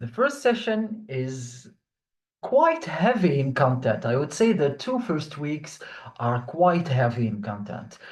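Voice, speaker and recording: Somewhat breathy speech with lively intonation comes at a very slow pace, with audible room echo. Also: man. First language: French. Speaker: online French teacher. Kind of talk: online class lecture.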